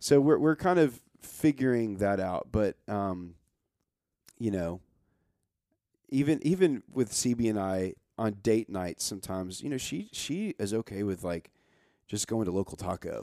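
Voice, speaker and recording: A man's dark, mellow, fairly low voice with lively intonation, at a fairly slow pace with long, frequent pauses, in a dry, close sound with no echo. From Nashville, Tennessee. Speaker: singer-songwriter. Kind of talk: casual chat.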